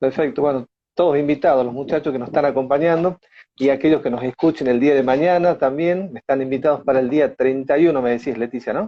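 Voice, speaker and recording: A man talks at a very fast pace with an Argentine accent. His pitch is fairly high, with ordinary pitch variation. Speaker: interviewer. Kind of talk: interview.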